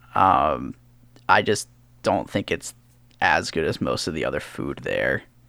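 Speaking in an American accent, a man goes at a fairly slow pace with long, frequent pauses. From US Northeast, Philadelphia area. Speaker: podcast co-host. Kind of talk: casual chat.

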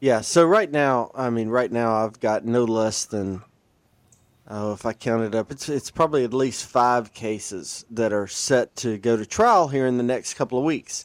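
The man has a medium-pitched voice with a Southern US accent. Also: ordinary pitch variation, moderate pace. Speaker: lawyer. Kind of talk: casual chat.

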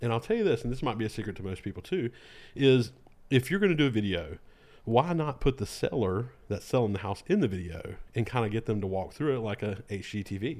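In a very clean recording with a silent background, a man with a Southern US accent speaks at a fairly quick pace. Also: medium pitch for a man, lively intonation. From North Carolina, Lexington. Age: 30s. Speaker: video director and producer. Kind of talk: casual chat.

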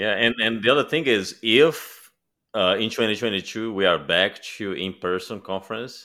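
Speaking at a moderate pace, a man talks with a Portuguese accent. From Brazil. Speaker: security author and technologist. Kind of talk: casual chat.

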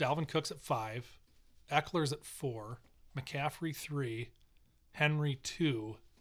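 The voice is somewhat breathy, with ordinary pitch variation. It moves at a very slow pace, with long, frequent pauses. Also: man, fairly high pitch for a man. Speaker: podcast host. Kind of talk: casual chat.

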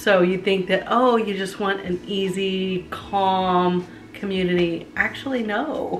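A woman speaks at a very slow pace with medium pitch. Noticeable background noise is present. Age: 50s. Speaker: podcast co-host. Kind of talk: casual chat.

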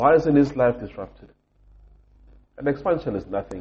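Lively intonation in a somewhat breathy male voice. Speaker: podcast host. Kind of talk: angry rant about racism, passionate monologue. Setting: recording in a hotel room while travelling. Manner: angry, frustrated, emphatic, repeating for emphasis; disappointed, sincere, impassioned.

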